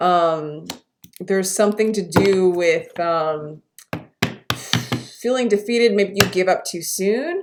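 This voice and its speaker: A woman at a medium pitch, speaking at a fairly slow pace. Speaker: tarot reader. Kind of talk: tarot reading monologue. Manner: halting, many fillers.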